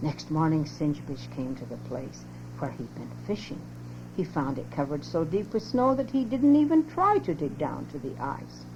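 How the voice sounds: Her low voice moves with lively intonation as the woman speaks at a moderate pace with few pauses.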